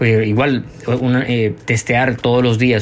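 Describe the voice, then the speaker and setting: A man talks in a monotone, flat intonation over noticeable background noise. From Colombia, Bogotá. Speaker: journalist and writer. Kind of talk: interview. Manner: halting, many fillers and repeats.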